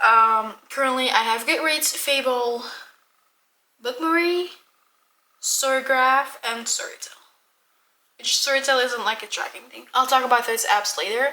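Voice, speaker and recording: A raised, projected voice in a Dutch accent, with big swings in loudness, ordinary pitch variation, a fairly slow pace and long, frequent pauses. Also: woman, high pitch for a woman. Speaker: book vlogger. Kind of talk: casual vlog monologue. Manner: casual, with many fillers.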